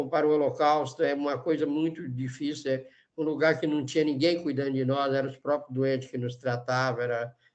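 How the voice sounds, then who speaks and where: A man speaks at a fairly quick pace with a fairly high pitch. His intonation is monotone and flat. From Brazil, northeastern Minas Gerais. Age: 70s. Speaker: leprosy survivor and author. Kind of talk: testimony.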